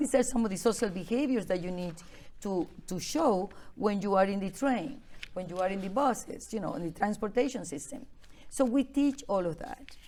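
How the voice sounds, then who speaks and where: At a moderate pace, this voice has a dark, mellow tone and lively intonation, with a Venezuelan accent. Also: woman, medium pitch for a woman. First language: Spanish. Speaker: immigrant advocate. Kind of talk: interview.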